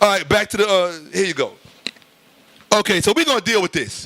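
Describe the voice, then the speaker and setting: Shouting in a raised, projected voice, a man speaks at a high pitch and fairly quick pace in an animated tone. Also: dry, close sound with no echo. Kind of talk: heated lecture. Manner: loud, yelling.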